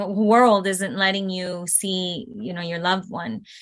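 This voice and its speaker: Speaking with a Spanish accent, a woman keeps a moderate pace, a fairly low pitch and fairly even intonation. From Venezuela, raised in South Florida. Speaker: aerialist. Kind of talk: interview.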